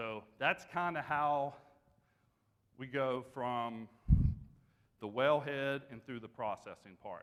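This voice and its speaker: Very slow speech from a man in an Appalachian accent, medium pitch with ordinary pitch variation, big swings in loudness, and long, frequent pauses. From West Virginia. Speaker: energy company business development director. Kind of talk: conference presentation. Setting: stage with audience.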